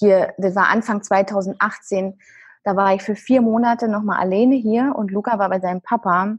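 Somewhat breathy, a woman speaks at a medium pitch and moderate pace with fairly even intonation against a quiet background. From Germany, Brandenburg. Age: 30s. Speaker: dance therapist and coach. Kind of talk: interview.

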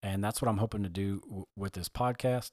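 In an unremarkable speaking voice, a man with an American accent speaks at a fairly low pitch, the sound dry and close with no echo on a very clean recording with a silent background. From United States. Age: 30s. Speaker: podcast host, army recruiter. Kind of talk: solo podcast monologue. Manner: conversational with frequent fillers.

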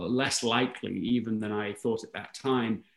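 Talking at a moderate pace and medium pitch, a man with an English accent keeps a fairly even intonation. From England, London. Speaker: author and speaker. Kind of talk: interview conversation.

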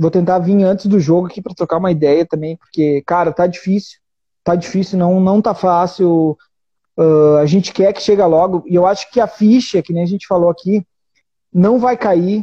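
Fairly even intonation from a man with a high pitch, at a moderate pace. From Brazil, Rio Grande do Sul. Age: 20s. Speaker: football fan livestream host. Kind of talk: casual chat. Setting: live video stream from home.

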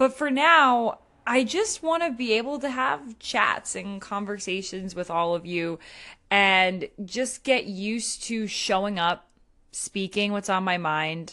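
A woman speaks at a medium pitch in a bright, sharp tone. She goes at a fairly slow pace with lively intonation. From New England. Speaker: blogger. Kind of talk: solo monologue. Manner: casual, with laughs.

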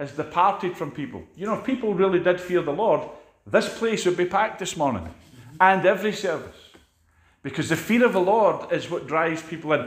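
Speaking with a Scottish accent, a man has a high pitch, ordinary pitch variation and a moderate pace. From Scotland. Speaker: preacher. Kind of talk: sermon. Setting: church.

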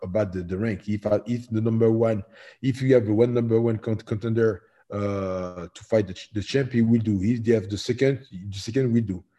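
Against a quiet background, a man with a fairly low pitch and a dark, mellow tone speaks at a fairly quick pace with fairly even intonation. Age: 40s. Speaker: professional MMA heavyweight fighter. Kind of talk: interview. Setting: remote call from home.

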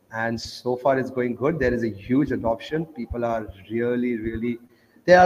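A man with a medium pitch talks at a moderate pace and fairly even intonation over noticeable background noise. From India, grew up in Oman. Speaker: traveler promoting Bitcoin. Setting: call from Kenya.

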